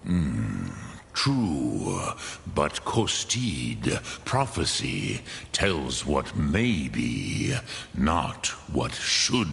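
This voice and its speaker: Delivered in a put-on character voice, the speech moves at a very slow pace with very wide pitch swings and long, frequent pauses over clear background noise. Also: man, very deep, low pitch for a man. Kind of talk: epic fantasy game dialogue. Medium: video game. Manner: slow, measured, sprinkling dragon-tongue words.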